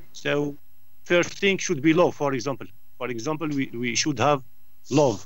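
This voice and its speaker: The man's pitch is fairly high, with ordinary variation. He keeps a moderate pace, broken by long, frequent pauses. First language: not English. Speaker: debate club participant. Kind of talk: online group discussion. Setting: Skype call. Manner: halting, many restarts.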